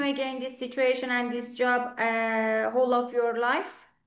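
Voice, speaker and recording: Speaking at a fairly slow pace over a quiet background, a woman with a high pitch talks in an Iranian Azerbaijani accent. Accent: Iranian Azeri accent in English. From Iran, Tabriz. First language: Azeri. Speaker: English teacher. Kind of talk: online speaking club conversation.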